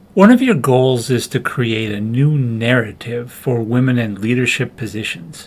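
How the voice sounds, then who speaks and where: A man with a normal speaking voice talks at a moderate pace and medium pitch, with hardly any pauses. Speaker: podcast host interviewer. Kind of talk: interview questions.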